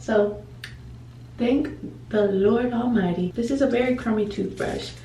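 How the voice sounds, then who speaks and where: A woman speaks at a fairly high pitch with ordinary pitch variation and a fairly slow pace. Audible room echo surrounds her voice. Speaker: lifestyle vlogger. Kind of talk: casual vlog talk to camera. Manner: slow, paced speech.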